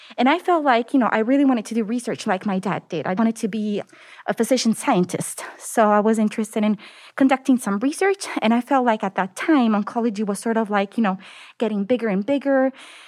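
A woman with an Italian accent speaks very fast at a fairly high pitch with ordinary pitch variation. The recording is very clean, with a silent background and a dry, close sound with no echo. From southern Italy, Naples. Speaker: medical oncologist and cancer researcher. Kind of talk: interview.

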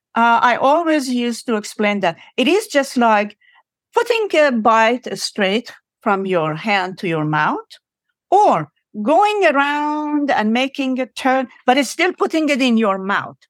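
With an Iranian accent, a woman speaks fairly slowly in a high voice with very wide pitch swings, in a very clean recording with a silent background and a dry, close sound with no echo. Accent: Iranian (Persian) accent in English. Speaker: professor. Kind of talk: interview.

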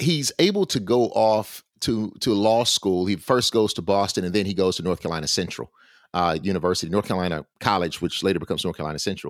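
This man talks at a very fast pace with a Southern US accent, his pitch fairly low and his pitch variation ordinary. The recording is very clean and dry, close with no echo, over a silent background. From US South, Alabama. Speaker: historian and professor. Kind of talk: interview.

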